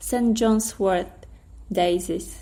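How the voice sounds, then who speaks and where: Someone with a Polish accent speaks at a very slow pace in a dark, mellow tone that is somewhat breathy, with ordinary pitch variation. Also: woman. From Poland. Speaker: storyteller and writer. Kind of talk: storytelling narration; casual intro. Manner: hesitant, many fillers.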